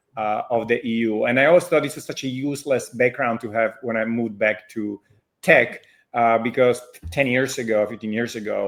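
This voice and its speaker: Speaking at a fairly quick pace with a Slovak accent, a man at medium pitch keeps a fairly even intonation in a very clean recording with a silent background. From Slovakia. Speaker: fintech founder and CEO. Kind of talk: interview.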